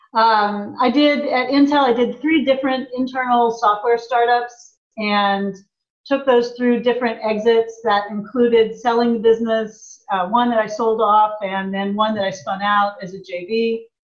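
A woman has an unremarkable speaking voice, fairly high in pitch, with an American accent. She talks at a moderate pace with fairly even intonation. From US Midwest, small town in Indiana. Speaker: tech company president. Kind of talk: interview.

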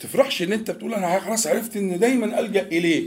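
A man with an Egyptian accent speaks at a fairly quick pace in a high voice, his pitch rising and falling in an ordinary way. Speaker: Islamic preacher. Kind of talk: religious lesson. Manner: conversational, mixing classical and colloquial Arabic.

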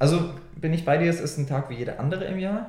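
A man speaks at a fairly quick pace with ordinary pitch variation, and audible room echo surrounds him. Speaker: podcast co-host. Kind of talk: casual chat.

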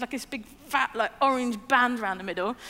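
A woman's high, bright, sharp voice at a very fast pace, with ordinary pitch variation. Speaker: preacher. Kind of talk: sermon. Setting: church with screens. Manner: hesitant, with many fillers.

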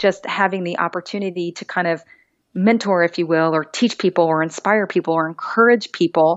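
A woman's ordinary speaking voice, an ordinary speaking voice with ordinary pitch variation at a fairly quick pace. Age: 30s. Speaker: beauty pageant titleholder and TV host. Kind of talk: casual interview.

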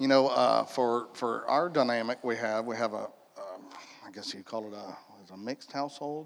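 A man with an American accent and a medium pitch, at a moderate pace, with long, frequent pauses and big swings in loudness. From Polk County, Florida. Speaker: church panelist, stepfather. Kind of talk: panel discussion.

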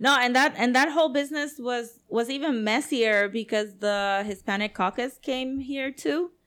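With a Puerto Rican accent, a woman speaks in a high voice at a moderate pace with ordinary pitch variation and hardly any pauses, on a very clean recording with a silent background. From Puerto Rico, San Juan. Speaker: comics creator and festival organizer. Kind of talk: casual chat.

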